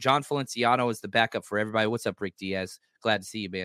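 Recorded very cleanly against a silent background, a man with an American accent speaks at medium pitch in a bright, sharp tone, with ordinary pitch variation and a dry, close sound with no echo. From US South. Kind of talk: casual chat. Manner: animated.

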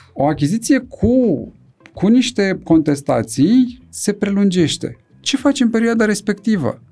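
With music in the background, a man speaks high in pitch at a fairly slow pace. His pitch swings very widely while his loudness stays very even. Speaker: neurosurgeon. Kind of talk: casual chat.

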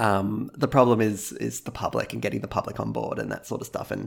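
This man talks at a moderate pace. He has an Australian accent. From Australia, Gold Coast, Queensland. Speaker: video game music YouTuber. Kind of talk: casual interview.

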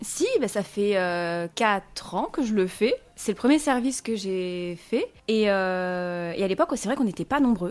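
A woman with an ordinary speaking voice and medium pitch talks at a fairly slow pace. Her intonation is lively, and she hardly pauses at all. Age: 20s. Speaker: self-published author and online content creator. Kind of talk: casual interview chat.

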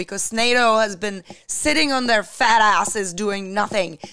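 A woman with a Czech accent speaks at a fairly slow pace and a fairly high pitch. Her tone is bright and sharp, with ordinary pitch variation. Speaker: podcast co-host. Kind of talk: casual talk show chat.

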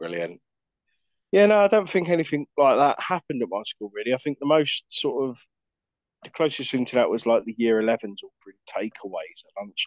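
A man with an English accent, fairly high in pitch, with very wide pitch swings, big shifts in loudness and a dry, close sound with no echo. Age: 30s. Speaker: podcast co-host. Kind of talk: casual chat.

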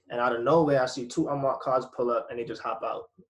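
This man talks at a fairly quick pace with a fairly high pitch. His voice is somewhat breathy. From Jamaica. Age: 20s. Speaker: airline worker. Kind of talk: casual chat.

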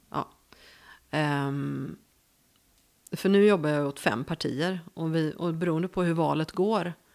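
The speaker uses a fairly slow pace with long, frequent pauses and ordinary pitch variation, on a very clean recording with a silent background. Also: woman, very deep, low pitch for a woman. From Gothenburg, western Sweden. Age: 50s. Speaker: journalist. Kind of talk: casual interview.

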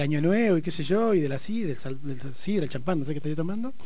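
Very fast speech from a high-pitched man, with very wide pitch swings and noticeable background noise. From Argentina, Neuquén. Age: 40s. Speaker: activist for diversity rights. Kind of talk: interview about life story.

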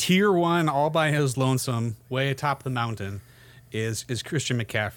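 A man with an unremarkable speaking voice at a medium pitch talks at a moderate pace with lively intonation. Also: very clean recording, silent background. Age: 30s. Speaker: sports podcast host. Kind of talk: casual chat.

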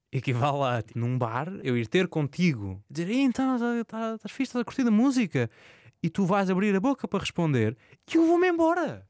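The sound is dry and close with no echo as a man speaks at a high pitch with very wide pitch swings. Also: moderate pace, very clean recording, silent background. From Azores, Portugal. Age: 20s. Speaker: journalist. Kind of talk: casual interview.

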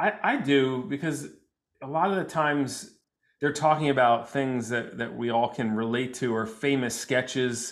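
With an American accent, a man has an ordinary speaking voice at medium pitch, talking at a moderate pace with ordinary pitch variation. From New Jersey. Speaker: psychologist and comedian. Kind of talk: casual chat.

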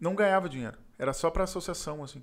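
On a very clean recording with a silent background, the speaker uses ordinary pitch variation in a southern Brazilian accent. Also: man. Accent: gaúcho Portuguese. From Porto Alegre, southern Brazil. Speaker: entrepreneur. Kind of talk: casual interview.

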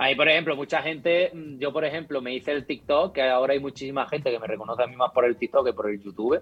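Very fast pace from a man at fairly high pitch, with ordinary pitch variation. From rural Córdoba, Andalusia. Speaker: YouTuber and video editor. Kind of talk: casual chat.

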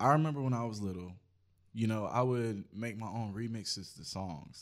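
Loudness swings widely as a man with an unremarkable speaking voice talks at a moderate pace in a fairly low pitch with ordinary pitch variation. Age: 20s. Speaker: photographer, videographer and musician. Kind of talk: casual chat.

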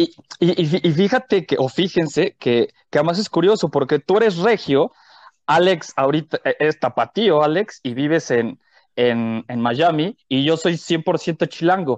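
A man with a normal speaking voice, fairly high in pitch, speaks fairly slowly with lively intonation, recorded dry and close with no echo against a quiet background. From Mexico City. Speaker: podcast co-host, comedian. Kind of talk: casual chat.

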